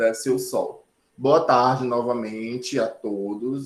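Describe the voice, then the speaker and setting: A man with a plain, everyday voice speaks at a fairly slow pace in a medium pitch, with fairly even intonation. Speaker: sign language teacher. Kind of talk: online lecture.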